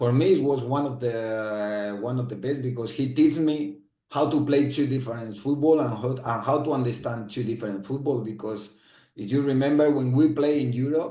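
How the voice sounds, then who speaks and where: With a Spanish accent, a man talks at a moderate pace with ordinary pitch variation amid audible room echo. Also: medium pitch for a man. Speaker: former footballer and football manager. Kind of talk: interview. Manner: halting, with frequent repetitions.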